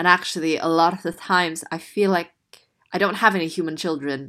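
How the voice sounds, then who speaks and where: A woman speaks in a plain, everyday voice with an American accent, fairly low pitch and fairly even intonation at a moderate pace. The recording is very clean, with a silent background. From Indonesia (Jakarta). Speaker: theatre artist. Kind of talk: interview.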